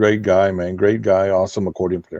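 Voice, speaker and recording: A man with a dark, mellow tone. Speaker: accordion musician. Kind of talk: casual interview chat.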